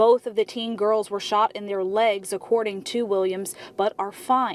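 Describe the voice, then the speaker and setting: Using an ordinary speaking voice, a woman talks at a moderate pace with a fairly high pitch and fairly even intonation. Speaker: TV news reporter and anchor. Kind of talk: TV news reporting.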